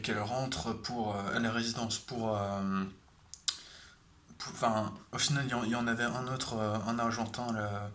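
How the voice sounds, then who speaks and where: A man talks in a monotone with flat intonation, with audible room echo and noticeable background noise. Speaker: vlogger. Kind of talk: casual storytelling vlog. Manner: halting, many fillers.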